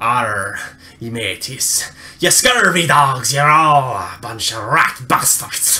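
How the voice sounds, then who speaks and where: Doing a cartoonish character voice, a man speaks very slowly at a medium pitch with a raspy sound. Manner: gruff, swaggering.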